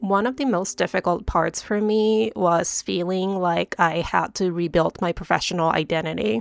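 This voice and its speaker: A woman with a Japanese accent speaks at a moderate pace, with hardly any pauses and lively intonation. Her pitch is fairly low, and the sound is dry and close with no echo. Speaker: stage costume designer and vlogger. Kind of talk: personal vlog monologue.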